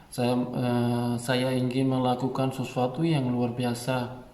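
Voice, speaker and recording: A man of medium pitch talks at a very slow pace. Audible room echo surrounds his voice. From Pakistan. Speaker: YouTuber, Indonesian learner. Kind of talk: vlog monologue. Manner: halting, many fillers.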